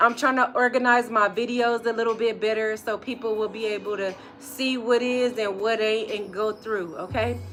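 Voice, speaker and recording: The intonation is monotone and flat. Background noise is noticeable. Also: woman. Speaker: vlogger. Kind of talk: casual live stream chat. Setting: workshop.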